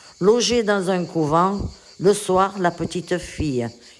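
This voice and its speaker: A woman speaks at a very slow pace. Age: 80s+. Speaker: elderly writing workshop participant. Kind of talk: reading aloud own life story.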